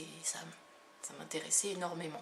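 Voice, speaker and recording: A woman speaks at a fairly slow pace and medium pitch with fairly even intonation, amid noticeable background noise. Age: 30s. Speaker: energy healer and hypnotherapist. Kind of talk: self-presentation video monologue. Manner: hesitant, many fillers.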